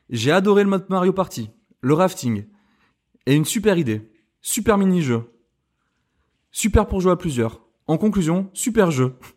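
A high-pitched man's voice with very wide pitch swings and long, frequent pauses, on a very clean recording with a silent background. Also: moderate pace. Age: 30s. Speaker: video game podcast co-host. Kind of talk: casual chat.

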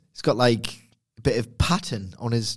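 A man speaks in a Geordie accent at a moderate pace. The recording is very clean with a silent background, and his voice is somewhat breathy. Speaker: wrestling podcast co-host.

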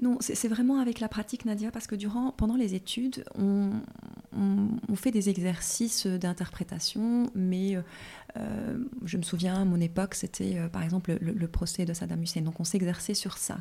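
A woman's tone is dark and mellow. There's a somewhat breathy quality when she talks. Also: medium pitch for a woman, ordinary pitch variation, moderate pace. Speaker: legal translator and interpreter. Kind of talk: interview. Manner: hesitant, many fillers.

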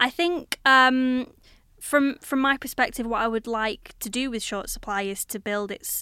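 A Lancashire accent at a moderate pace, ordinary pitch variation, on a very clean recording with a silent background. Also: woman. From Blackburn, Lancashire, northern England. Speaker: artist and arts organiser. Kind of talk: casual interview. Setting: recorded on university campus, filmed.

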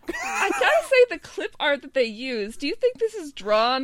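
Against noticeable background noise, a woman with a high pitch speaks at a moderate pace, her pitch swinging very widely. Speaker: podcast co-host. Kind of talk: casual chat.

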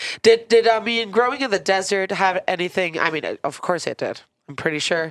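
In a plain, everyday voice with an American accent, a woman speaks at a fairly quick pace and medium pitch with ordinary pitch variation, on a very clean recording with a silent background. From Philadelphia, US. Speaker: podcast host. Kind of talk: casual interview; scripted outro. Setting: studio.

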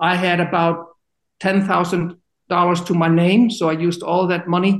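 With an Icelandic accent, a man speaks in a high pitch with fairly even intonation. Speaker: university administrator, former football player. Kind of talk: interview. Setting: podcast recording.

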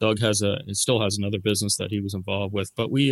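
With a Canadian Maritime accent, a man with a fairly low pitch talks at a very fast pace in a dry, close sound with no echo. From Nova Scotia, Canada (Dartmouth). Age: 50s. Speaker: company CEO. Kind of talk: interview.

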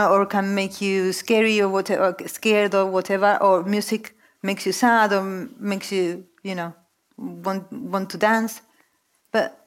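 A woman with a Spanish accent speaks at a fairly slow pace and medium pitch. The recording is very clean, with a silent background. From Argentina. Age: 40s. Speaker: novelist. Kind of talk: onstage literary conversation. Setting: stage with audience.

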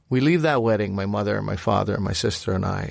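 In a very clean recording with a silent background, a man with a normal speaking voice talks at a moderate pace and a fairly low pitch. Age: 40s. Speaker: podcast co-host, former cook. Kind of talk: casual chat.

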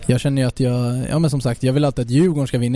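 Words come out at a very fast pace in a monotone, flat intonation. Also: man. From Stockholm, Sweden. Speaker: professional footballer. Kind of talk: interview. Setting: bar.

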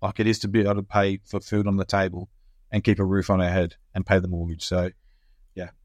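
The speaker has an Australian accent. The sound is dry and close with no echo, over a quiet background. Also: man. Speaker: small business owner and podcast host. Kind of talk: casual chat. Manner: joking, playful banter.

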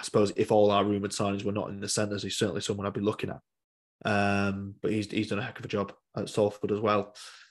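A man with a West Yorkshire accent, fairly low-pitched, at a very fast pace with monotone, flat intonation against a quiet background. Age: 20s. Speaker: rugby league fan podcast host. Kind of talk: solo podcast monologue. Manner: hesitant, many fillers.

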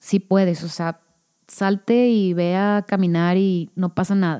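The woman's medium-pitched voice has a dark, mellow tone, captured dry and close with no echo. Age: 30s. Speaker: podcast host. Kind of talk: casual solo monologue. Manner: natural with pauses.

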